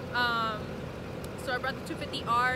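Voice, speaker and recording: At a moderate pace, a woman talks with ordinary pitch variation over loud background noise, her voice dry with no echo. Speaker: vlogger. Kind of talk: casual vlog chat. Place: street. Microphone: phone near.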